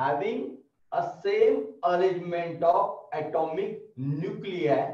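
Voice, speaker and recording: Audible room echo surrounds a man's voice against a quiet background. He speaks at a very slow pace. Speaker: college lecturer. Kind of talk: lecture. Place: classroom.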